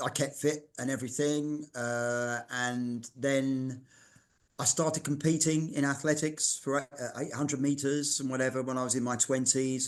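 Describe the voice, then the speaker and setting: Against a quiet background, a man with a London accent speaks at a medium pitch with fairly even intonation. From London, England. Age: 60s. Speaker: fitness writer and masters athlete. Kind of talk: podcast interview. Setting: in his daughter's art gallery.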